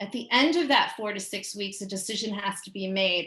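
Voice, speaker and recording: A woman talks in a New York accent. Her medium-pitched voice has a bright, sharp tone. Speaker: school special education staff presenter. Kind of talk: parent education presentation. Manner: fast.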